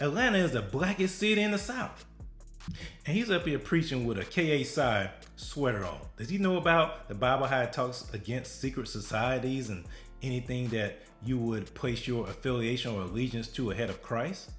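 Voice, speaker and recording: At a moderate pace, the speaker's pitch swings very widely while music plays in the background. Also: man, medium pitch for a man. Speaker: political and religious commentator. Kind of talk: reaction commentary to camera.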